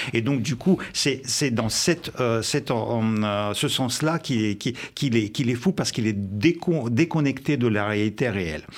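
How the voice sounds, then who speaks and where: A man with a Russian accent, medium in pitch, speaking fairly slowly with lively intonation and hardly any pauses. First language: Russian (speaking French). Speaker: journalist and former intelligence officer. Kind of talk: live radio debate.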